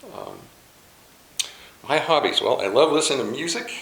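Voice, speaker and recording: An American accent with noticeable background noise and audible room echo. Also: man. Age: 60s. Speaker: chaplain. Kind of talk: casual talk.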